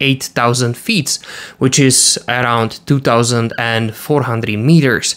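A quiet background behind a male speaker. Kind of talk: explainer commentary. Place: home room. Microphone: studio mic.

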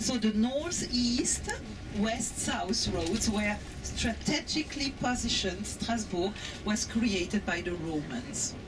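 Against clear background noise, a woman at a medium pitch talks slowly with lively intonation.

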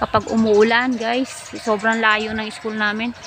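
A woman speaks at a fairly slow pace with a fairly high pitch and flat, monotone intonation. Music plays in the background. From Philippines, Manila (moved from Negros Oriental at 5). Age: old. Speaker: vlogger. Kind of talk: casual storytelling monologue. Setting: outdoors sitting among trees. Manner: chatty with frequent laughs.

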